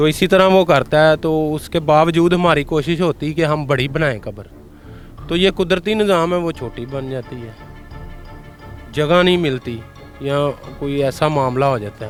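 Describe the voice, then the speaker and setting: A man talks at a fairly high pitch, varying it in an ordinary way. Music can be heard behind him. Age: 30s. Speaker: graveyard keeper. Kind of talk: interview answer.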